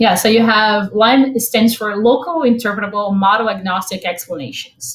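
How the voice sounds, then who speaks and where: Somewhat breathy speech in a Portuguese accent, at a moderate pace with ordinary pitch variation. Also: woman. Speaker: machine learning expert, product manager. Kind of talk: technical talk with slides. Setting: remote online event. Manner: halting, filler-heavy.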